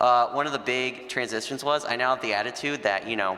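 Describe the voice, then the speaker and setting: Noticeable background noise behind a man's voice pitched in the medium range. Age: 20s. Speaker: panelist living with Duchenne. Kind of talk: panel discussion. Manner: casual, conversational.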